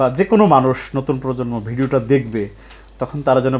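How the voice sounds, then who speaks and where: A man talks at a medium pitch. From Bangladesh, Tangail area; Bangladesh. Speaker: video channel host, interviewer. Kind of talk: interview. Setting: guest's home. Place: home room. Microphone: phone near.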